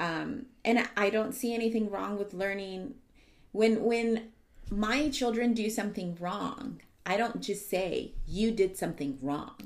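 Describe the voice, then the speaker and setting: This woman has an ordinary speaking voice with an American accent. Her medium pitch shows ordinary variation, and she talks at a fairly slow pace. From US South (San Antonio, Texas). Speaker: nurse. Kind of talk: casual chat.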